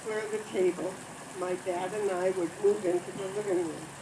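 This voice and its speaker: A woman in an American accent keeps a moderate speed, with background noise clearly present. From US Midwest, Grand Rapids, Michigan. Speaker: storyteller. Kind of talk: reading aloud. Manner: soft-spoken.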